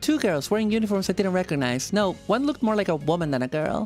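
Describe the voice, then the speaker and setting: Music plays in the background as a woman talks at a fairly quick pace with very wide pitch swings. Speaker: streamer. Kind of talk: casual live-stream commentary.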